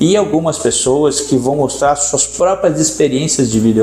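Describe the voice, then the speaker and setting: A man over noticeable background noise. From São Paulo, Brazil. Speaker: entrepreneur and angel investor. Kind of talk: podcast interview.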